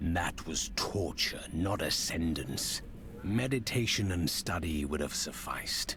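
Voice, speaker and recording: Over loud background noise, a man does a put-on character voice at a very deep, low pitch and a fairly slow pace. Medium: short film. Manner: calm, measured, detached.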